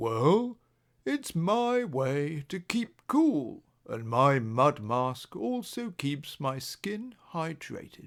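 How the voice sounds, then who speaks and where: On a very clean recording with a silent background, a man does a put-on character voice at a fairly high pitch, speaking very slowly with very wide pitch swings. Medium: read story.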